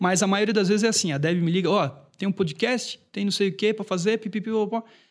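Very fast pace from a man with a high pitch and ordinary pitch variation. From Brazil, Brusque, Santa Catarina. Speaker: singer-songwriter. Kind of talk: casual chat.

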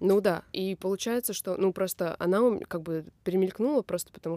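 A woman speaks at a fairly quick pace in a fairly low, dark and mellow voice, with ordinary pitch variation and a dry, close sound that has no echo. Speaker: krump dancer and choreographer. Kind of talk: casual chat.

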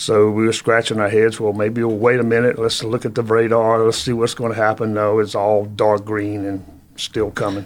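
A man with a Virginia accent talks at a fairly low pitch and moderate pace. His intonation is monotone and flat, with hardly any pauses. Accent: Southern US (Virginia). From Virginia, Halifax County. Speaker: historical tour guide. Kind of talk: casual interview. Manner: frequent fillers (uh).

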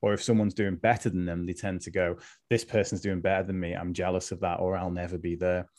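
Against a quiet background, a man talks at a very fast pace. His very deep, low voice stays monotone and flat. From Liverpool, England. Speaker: mindset coach. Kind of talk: casual interview.

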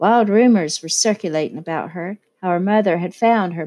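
Quiet surroundings, ordinary pitch variation and a natural reading voice

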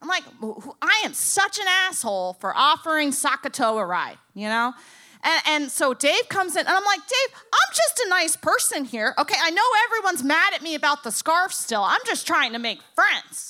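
Raising and projecting her voice, a woman with an American accent speaks at a high pitch and moderate pace, her tone bright and sharp and her pitch swinging very widely. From Boca Raton, Florida. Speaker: tattoo shop owner and stand-up comedian. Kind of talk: comedic live storytelling. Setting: stage with audience.

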